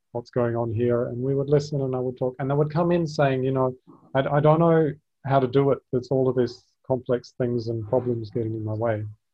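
Speaking fairly quickly in an Australian accent, a man has a medium pitch, a somewhat breathy voice and fairly even intonation. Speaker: podcast host and speaker. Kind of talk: casual interview chat. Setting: video call.

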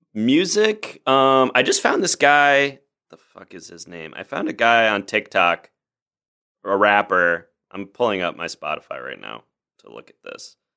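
A man speaks at a fairly slow pace, with big swings in loudness. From US Midwest, Chicago suburbs (Oak Park). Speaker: improv comedian. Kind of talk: casual chat. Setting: home studio, remote recording.

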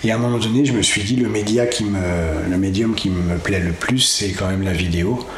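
A fairly low-pitched man is heard with audible room echo and noticeable noise in the background. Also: ordinary pitch variation, moderate pace, very even loudness. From western France, Cholet area (Anjou). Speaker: nature documentary filmmaker. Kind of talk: interview. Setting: studio. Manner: hesitant, many fillers. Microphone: echo in recording.

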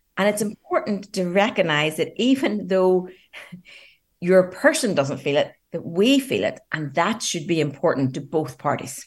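A woman with a medium pitch sounds somewhat breathy as her voice makes very wide pitch swings. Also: moderate pace. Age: 50s. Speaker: relationship coach. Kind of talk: radio interview.

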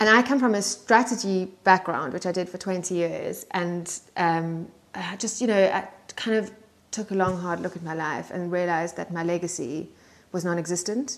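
At a moderate pace, a woman speaks in a South African accent. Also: medium pitch for a woman, ordinary pitch variation. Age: 40s. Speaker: secondhand clothing business owner. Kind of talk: casual chat. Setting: at home in the countryside.

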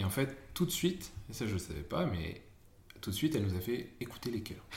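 In a room with audible echo, a man speaks in a somewhat breathy voice. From northern France, Amiens. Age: 30s. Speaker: expectant father of triplets. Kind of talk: casual chat.

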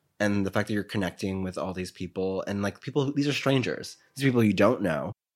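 A man with an American accent, fairly low pitch and ordinary pitch variation at a fairly quick pace, in a very clean recording with a silent background. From New York City. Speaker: podcast host. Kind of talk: casual interview chat. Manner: animated, friendly.

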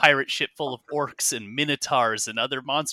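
Here is a natural reading voice. Its intonation is fairly even.

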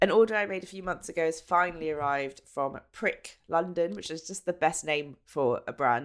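With an English accent, a woman speaks at a fairly low pitch and moderate pace, with ordinary pitch variation. Her loudness swings widely, and she hardly pauses. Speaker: podcast co-host. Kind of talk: casual chat. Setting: remote call from home.

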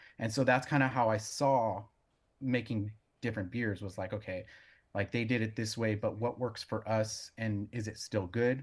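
In a plain, everyday voice with an American accent, a man talks at a fairly quick pace, his fairly low pitch held to a fairly even intonation. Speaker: brewer and brewery owner. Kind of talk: casual interview. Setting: video call.

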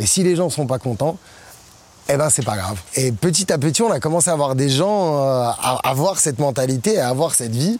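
Lively intonation and an animated tone mark this man's fairly high voice. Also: moderate pace. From Morocco. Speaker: DJ and music producer. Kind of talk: interview monologue.

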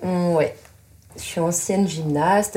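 A woman speaks at a fairly low pitch. Her intonation is fairly even. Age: 30s. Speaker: adapted physical activity teacher. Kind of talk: casual chat. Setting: in total darkness.

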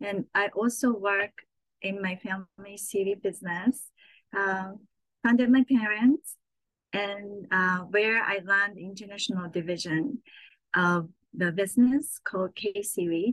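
Someone with a Japanese accent speaks at a fairly slow pace with ordinary pitch variation, in a dry, close sound with no echo. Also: woman, medium pitch for a woman. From Japan (Saitama, near Tokyo). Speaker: chef and cookbook author. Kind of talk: casual interview.

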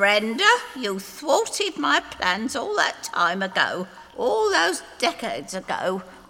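Over faint background noise, a woman puts on a character voice, fairly high in pitch and bright, sharp in tone, moving slowly with very wide pitch swings.

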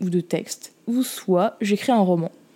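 This woman's voice has a dark, mellow tone. Its pitch is medium. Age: 20s. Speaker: podcast host and student. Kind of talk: casual monologue. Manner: animated.

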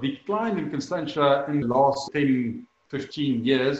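Using an unremarkable speaking voice, a man talks with lively intonation at a fairly high pitch. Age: 40s. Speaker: winemaker. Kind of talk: interview.

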